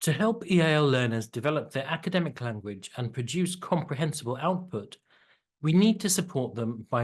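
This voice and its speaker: A man talks at a fairly quick pace with lively intonation. His voice is somewhat breathy over a quiet background. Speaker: EAL teacher. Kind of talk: tutorial. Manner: clearly enunciated.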